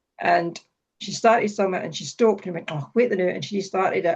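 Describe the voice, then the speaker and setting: In a Scottish accent, a woman with a medium pitch talks at a very fast pace with ordinary pitch variation. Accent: Falkirk Scottish. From Scotland, Falkirk. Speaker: writer and event host. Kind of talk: casual interview chat. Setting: video call.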